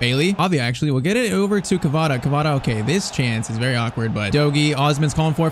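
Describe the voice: Over faint background noise, a man speaks at a fairly quick pace with a fairly high pitch and lively intonation.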